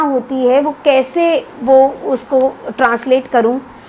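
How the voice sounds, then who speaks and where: Amid noticeable background noise, a woman with a Punjabi accent speaks at a high pitch. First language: Punjabi (speaking Hindi). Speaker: academic and literary translator. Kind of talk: lecture. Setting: live video stream. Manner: hesitant fillers.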